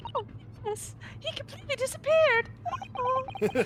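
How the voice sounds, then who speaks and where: A woman does a squeaky, put-on character voice over loud background noise. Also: moderate pace. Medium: game stream.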